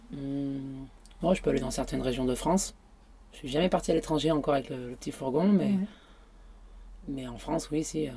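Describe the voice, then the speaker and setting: Her voice is very deep and low for a woman, dark and mellow in tone with vocal fry, moving at a fairly quick pace with ordinary pitch variation and long, frequent pauses. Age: 30s. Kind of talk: casual interview. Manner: hesitant.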